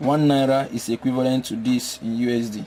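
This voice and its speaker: At a fairly slow pace, the speaker talks in a monotone with flat intonation and a Nigerian accent over noticeable background noise. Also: man. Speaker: poultry veterinarian and farmer. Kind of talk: tutorial.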